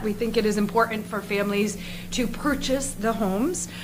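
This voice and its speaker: A woman at a fairly high pitch with fairly even intonation, plus noticeable background noise. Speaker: nonprofit housing representative. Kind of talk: presentation at town board meeting.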